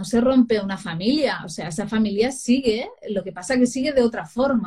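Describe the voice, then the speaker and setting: With a dark, mellow tone and a fairly high pitch, a woman speaks at a moderate pace with hardly any pauses. Her pitch varies in an ordinary way while her loudness swings widely. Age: 40s. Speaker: parenting consultant and writer. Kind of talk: interview.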